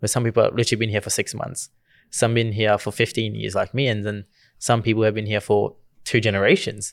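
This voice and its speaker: The speaker goes at a very fast pace, in a monotone, flat delivery with vocal fry. The recording is very clean, with a silent background. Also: man, fairly low pitch for a man. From Gujarat, India. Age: 20s. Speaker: youth advocate. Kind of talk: casual podcast conversation.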